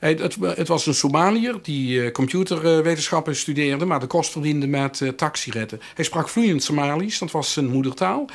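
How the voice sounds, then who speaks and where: Lively intonation marks this man's fairly high voice as he speaks at a moderate pace. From Limburg, Netherlands. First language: Limburgish (speaking Dutch). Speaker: professor. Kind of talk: interview. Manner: halting, many filler sounds.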